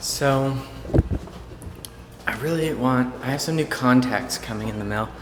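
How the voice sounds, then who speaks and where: With audible room echo and music in the background, a man speaks at a medium pitch. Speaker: ophthalmology resident and video blogger. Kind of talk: casual vlog narration. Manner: fast; casual, many fillers.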